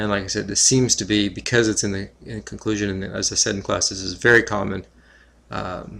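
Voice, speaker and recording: A man's fairly low, bright, sharp voice with vocal fry, monotone, flat intonation and a moderate pace. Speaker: teacher. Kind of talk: tutorial. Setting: screencast recording. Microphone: screen recorder audio, re-recorded for better audio.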